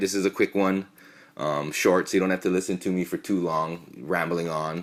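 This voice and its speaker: In a very clean recording with a silent background, a man mumbles with a very deep, low pitch. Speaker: podcast host. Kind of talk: casual chat; reading aloud. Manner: mumbling; halting.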